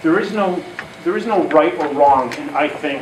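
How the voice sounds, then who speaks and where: Noticeable background noise and audible room echo fill the recording. A man's voice comes through it. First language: not English. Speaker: conference speaker on careers. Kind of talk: talk to an audience.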